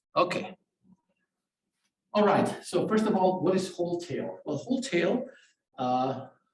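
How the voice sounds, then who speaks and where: A man speaks at a fairly slow pace with lively intonation and long, frequent pauses. Audible room echo can be heard. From Germany. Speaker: professor. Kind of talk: tutorial. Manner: hesitant, many fillers.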